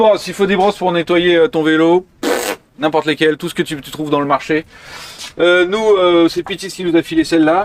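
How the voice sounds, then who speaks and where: A man's high-pitched voice with fairly even intonation, dry and close with no echo, over noticeable background noise. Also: moderate pace. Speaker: bike cleaning tutorial presenter. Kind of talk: outdoor tutorial demo. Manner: casual, hesitant with fillers.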